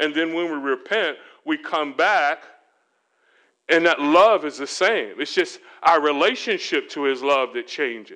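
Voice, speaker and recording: A man with an American accent talks at a fairly slow pace in a fairly high, bright, sharp voice with ordinary pitch variation, over a quiet background. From Florida, US. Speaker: pastor. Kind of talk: sermon. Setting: church retreat.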